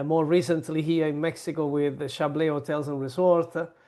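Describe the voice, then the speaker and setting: A man's fairly high, monotone voice, flat in intonation, with an Italian accent and a quiet background. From southern Italy. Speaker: hospitality consultant and founder. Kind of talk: interview. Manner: hesitant, many fillers.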